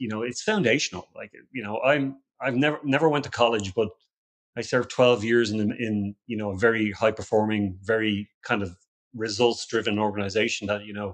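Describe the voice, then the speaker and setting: A man talks at a fairly quick pace and fairly low pitch, his intonation fairly even but his loudness swinging widely. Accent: Irish. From Ireland. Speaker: security company founder, ex-special forces. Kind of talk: podcast interview. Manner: halting, many repetitions.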